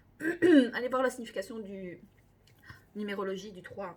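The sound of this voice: A woman's put-on character voice, raspy and hoarse, fairly high in pitch, with lively intonation at a moderate pace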